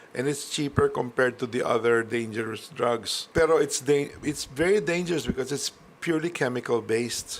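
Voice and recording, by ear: At a moderate pace, a man talks with medium pitch and ordinary pitch variation.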